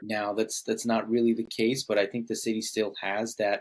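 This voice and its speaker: At a moderate pace, a man speaks with a fairly low pitch in a normal speaking voice. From California, Bay Area. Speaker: podcast host. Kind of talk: podcast interview.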